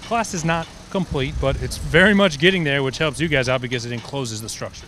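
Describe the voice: This man talks at a fairly quick pace and a medium pitch. His pitch shows ordinary variation. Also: fairly bright tone.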